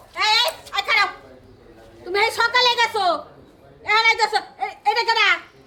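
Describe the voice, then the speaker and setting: With extremely high pitch, a woman uses a put-on character voice at a moderate pace. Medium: short film. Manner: loud, scolding.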